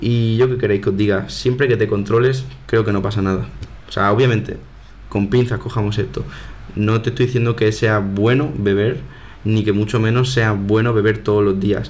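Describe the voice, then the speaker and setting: A man's fairly low voice at a moderate pace, with fairly even intonation, very even loudness, and audible room echo. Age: 20s. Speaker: podcast host, university student. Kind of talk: casual solo monologue. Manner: informal, conversational.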